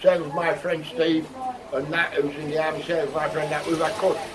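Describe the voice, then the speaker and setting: Amid noticeable background noise and audible room echo, a man speaks fairly quickly at a high pitch with ordinary pitch variation. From England. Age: 60s. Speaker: local resident interviewed in the street, army veteran. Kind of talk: vox pop interview. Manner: animated.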